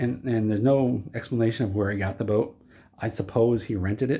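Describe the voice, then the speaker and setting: The voice is somewhat breathy, moving at a fairly quick pace with ordinary pitch variation. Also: man. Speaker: movie reviewer vlogger. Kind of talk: casual rant review. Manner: animated.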